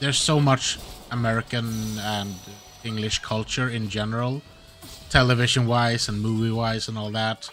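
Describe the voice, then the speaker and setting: With music playing in the background, a man with a Swedish accent speaks at a moderate pace and a medium pitch, pausing long and often. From Sweden. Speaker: gaming streamer. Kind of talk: gameplay livestream commentary. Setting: live stream. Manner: casual, rambling.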